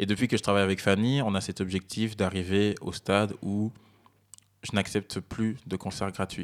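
Using a normal speaking voice, a man talks at a moderate pace with fairly low pitch and fairly even intonation. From Belgium, Verviers (Liège province). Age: 20s. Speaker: music producer. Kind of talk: casual interview.

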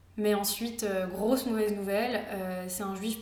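A woman speaks over noticeable background noise, and her voice carries audible room echo. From France. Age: 20s. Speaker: architecture student. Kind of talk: casual interview. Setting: at her home.

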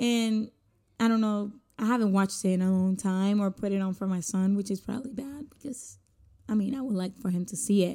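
With a Spanish accent, this voice moves at a fairly quick pace in a dark, mellow tone. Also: woman, medium pitch for a woman, fairly even intonation, very clean recording, silent background. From Puerto Rico. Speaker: podcaster. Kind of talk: solo casual podcast monologue. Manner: casual, rambling, conversational.

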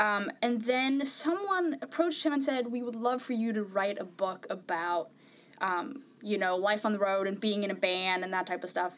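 Against noticeable background noise, a woman with a fairly high pitch talks at a moderate pace with lively intonation. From Norway. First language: Norwegian. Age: 20s. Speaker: podcast panelist. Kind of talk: casual chat.

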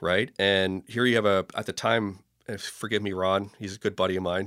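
A man with a Canadian accent speaks at a fairly low pitch, recorded very cleanly against a silent background with a dry, close sound and no echo. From Canada, Toronto. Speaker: firefighter. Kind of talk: casual chat.

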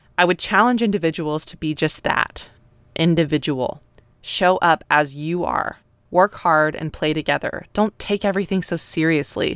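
A woman with a plain, everyday voice speaks at a moderate pace and a fairly low pitch with ordinary pitch variation, on a very clean recording with a silent background. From US, North Texas. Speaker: podcaster. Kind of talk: personal storytelling.

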